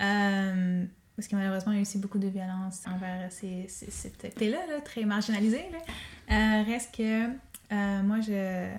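A woman speaks at a fairly slow pace in a medium-pitched, somewhat breathy voice with ordinary pitch variation. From Quebec North Shore (Pessamit Innu community). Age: 20s. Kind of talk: interview conversation.

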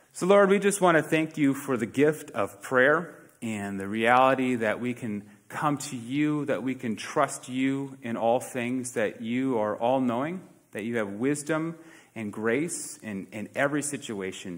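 This man talks at a medium pitch and a fairly slow pace. His intonation is lively. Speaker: pastor. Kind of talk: sermon. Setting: church. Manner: earnest, warm, conversational preaching with frequent hesitations.

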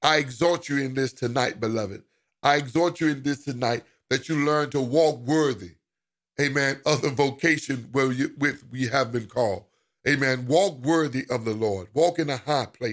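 On a very clean recording with a silent background, a man with a fairly high pitch speaks at a moderate pace in an unremarkable speaking voice with ordinary pitch variation. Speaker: preacher. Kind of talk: sermon with scripture reading and prayer. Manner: fervent, rousing pulpit delivery with repeated 'amen' and 'glory to God' interjections.

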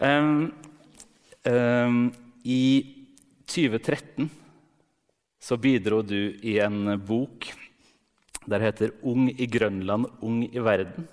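A man with a medium-pitched voice speaks at a very slow pace, leaving long, frequent pauses. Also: ordinary pitch variation. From Norway. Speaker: literary critic. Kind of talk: onstage interview. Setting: stage with audience.

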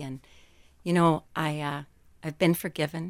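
On a very clean recording with a silent background, a woman with a very deep, low pitch speaks at a moderate pace. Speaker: former inmate, prison ministry worker. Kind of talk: radio interview, personal testimony.

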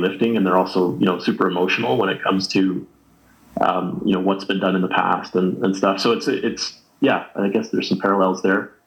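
Very deep and low, a man's voice moves at a fairly quick pace with fairly even intonation in a Western Canadian accent. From Canada, Alberta (Jasper). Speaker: ski instructor, association co-founder. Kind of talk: interview.

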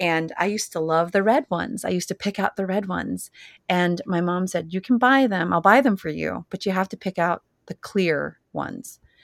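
On a very clean recording with a silent background, a woman talks at a moderate pace and medium pitch, showing vocal fry and ordinary pitch variation. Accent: Californian. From US West Coast, San Jose, California. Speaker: cookbook author and farmer. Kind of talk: interview.

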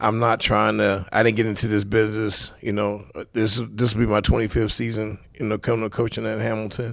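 The man's voice sits fairly low in pitch. He speaks fairly quickly in a flat, monotone way. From South Central Los Angeles. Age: 50s. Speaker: football coach, former NFL player. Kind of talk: casual interview chat.

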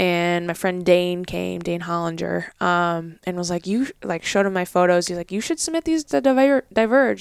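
On a very clean recording with a silent background and a dry, close sound with no echo, a woman with a normal speaking voice talks at a moderate pace and medium pitch. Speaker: outdoors photographer. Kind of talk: casual interview chat. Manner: casual, filler-heavy.

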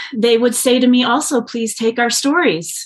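A woman is speaking. She has a Midwestern American accent. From US Midwest, rural. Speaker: social entrepreneur. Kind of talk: interview.

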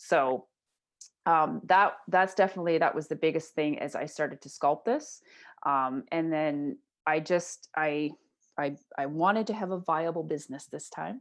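With an Ontario accent, a woman speaks at a very deep, low pitch, showing ordinary pitch variation and big swings in loudness. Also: moderate pace, quiet background. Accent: Canadian (Ontario). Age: 40s. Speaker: entrepreneur and mental health advocate. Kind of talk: interview conversation.

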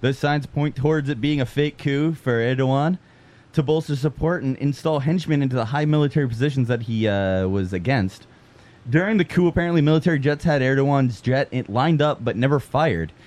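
A man speaks at a fairly quick pace in an unremarkable speaking voice, his pitch fairly high with ordinary pitch variation. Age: 20s. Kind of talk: casual chat.

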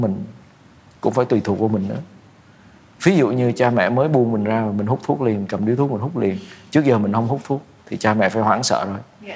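A man at a medium pitch, with ordinary pitch variation and a fairly quick pace. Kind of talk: advice talk show interview.

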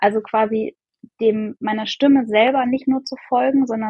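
This woman talks at a moderate pace in a fairly high pitch. Her voice is somewhat breathy, with fairly even intonation. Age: 30s. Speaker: podcast guest, mother and coaching client. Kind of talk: casual interview.

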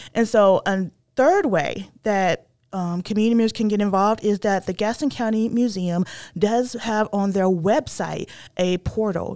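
A woman with an American accent speaks in an unremarkable speaking voice, medium in pitch with ordinary pitch variation, on a very clean recording with a silent background. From northern North Carolina. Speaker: historian. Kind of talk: interview.

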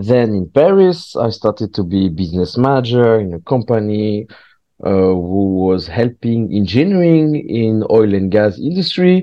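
A man with a French accent speaks at a fairly slow pace. His fairly low pitch swings very widely. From southwest France. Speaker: stand-up comedian. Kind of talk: casual chat. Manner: halting.

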